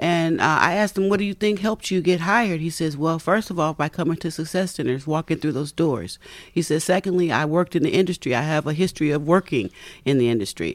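Speaking very fast with ordinary pitch variation, a woman with a fairly low voice is heard on a very clean recording with a silent background. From US West Coast, San Francisco Bay Area; born in Tennessee. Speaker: job training program manager. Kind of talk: interview. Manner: halting, many fillers.

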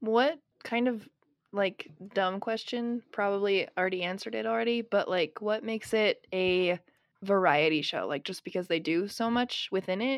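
A woman speaks at a moderate pace and medium pitch, with ordinary pitch variation and a plain, everyday voice. The recording is very clean, with a silent background. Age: 20s. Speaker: podcast co-host. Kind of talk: casual chat.

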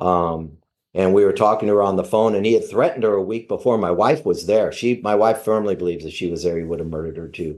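A man with an American accent talks at a very fast pace in a fairly low pitch. His pitch variation is ordinary, and the background is quiet. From US West Coast. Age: 60s. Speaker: pastor. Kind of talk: casual chat. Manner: halting.

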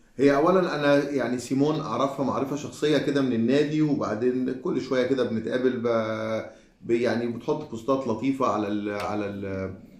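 Noticeable background noise and audible room echo surround a man's voice. He talks at a moderate pace, his medium pitch showing ordinary variation. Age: 40s. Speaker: podcast co-host. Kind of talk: casual chat.

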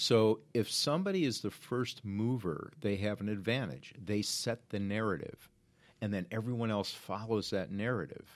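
An animated man's voice, fairly low in pitch with ordinary variation, at a moderate pace in a very clean recording with a silent background. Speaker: crisis communications consultant, former reporter. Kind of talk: interview. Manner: animated, talks with hands.

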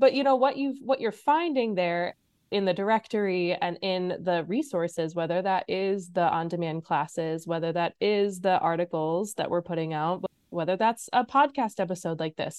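A woman's animated, medium-pitched voice with an American accent and lively intonation. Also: moderate pace. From US Midwest (Illinois). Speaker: podcast host. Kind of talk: casual chat with podcast intro. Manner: animated, laughs often.

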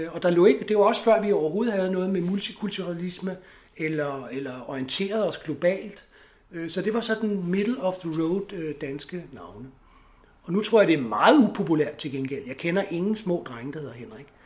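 This man's voice sits high in pitch, moving at a moderate pace with lively intonation. His loudness swings widely. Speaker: lifestyle expert. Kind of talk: interview. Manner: hesitant with many fillers.

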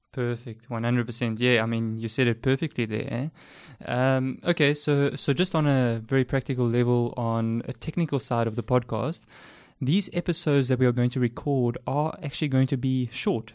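A man with a South African accent, medium pitch and ordinary pitch variation, at a moderate pace over a quiet background. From South Africa, Port Elizabeth. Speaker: podcast host, freelance web developer. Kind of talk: casual chat, intro episode. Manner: hesitant, filler words.

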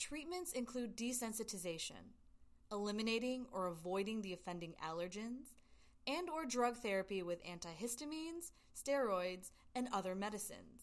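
A woman's fairly high voice at a moderate pace, full of very wide pitch swings. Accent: American. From US South, Georgia. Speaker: podcast host, acupuncturist. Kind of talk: educational monologue. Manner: animated.

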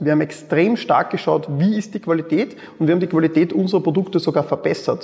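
His voice is high, with ordinary pitch variation. The man speaks fairly quickly. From Austria, Mödling near Vienna. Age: 30s. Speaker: e-commerce entrepreneur. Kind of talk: interview.

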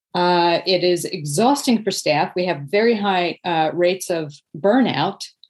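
A woman with a normal speaking voice talks at a fairly slow pace. Her pitch is medium and her intonation lively. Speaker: author and nonprofit expert. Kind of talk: interview.

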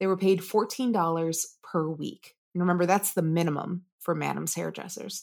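At a moderate pace, a woman speaks with a fairly low pitch and hardly any pauses. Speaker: podcast host. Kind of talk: casual history podcast chat, partly scripted narration. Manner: animated, casual, does funny accents.

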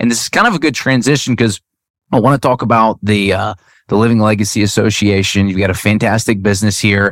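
In a very clean recording with a silent background, a man speaks fairly quickly in a normal speaking voice, fairly low in pitch, with fairly even intonation. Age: 30s. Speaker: podcast host. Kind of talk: interview.

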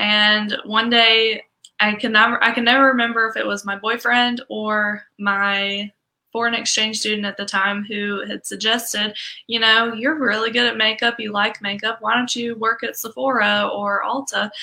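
A woman speaks at a fairly high pitch with little pitch movement and a bright, sharp tone. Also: moderate pace.

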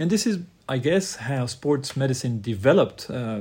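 Lively in intonation yet fairly slow, a man speaks in a somewhat breathy, dark, mellow tone on a very clean recording with a silent background. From Switzerland, Lausanne, of Croatian descent. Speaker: sports medicine physician. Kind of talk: interview.

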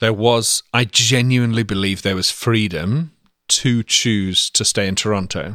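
A bright, sharp tone moves at a fairly slow pace with ordinary pitch variation, recorded very cleanly against a silent background. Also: man, medium pitch for a man. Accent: English. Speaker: pastor's son, ministry worker. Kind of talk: casual interview. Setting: home.

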